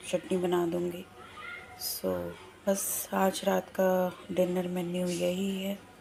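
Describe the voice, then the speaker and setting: Noticeable background noise under a woman's medium-pitched voice. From Lucknow, India. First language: Bengali (speaking Hindi). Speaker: vlogger. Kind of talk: casual vlog talk.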